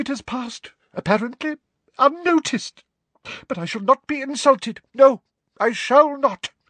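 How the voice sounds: A man puts on a shaky character voice at an extremely high pitch, with ordinary pitch variation and a fairly slow pace. The tone is bright and sharp, and the sound is dry and close with no echo.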